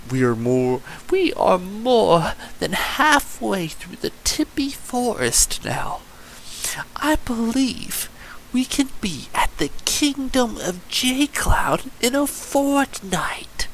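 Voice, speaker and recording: A man puts on a character voice at an extremely high pitch. He goes at a very slow pace over light background noise. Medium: read story.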